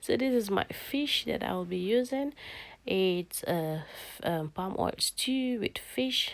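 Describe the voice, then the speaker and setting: Against a silent background on a very clean recording, a woman speaks at a very slow pace with lively intonation. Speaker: cooking vlogger. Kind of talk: cooking tutorial. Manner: casual, with many fillers.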